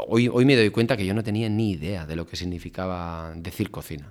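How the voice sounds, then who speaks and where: Very clean recording with a silent background and ordinary pitch variation. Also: man. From Basque Country, Spain (Oiartzun, Gipuzkoa). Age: 40s. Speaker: chef. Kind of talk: casual interview. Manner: halting, many fillers and repetitions.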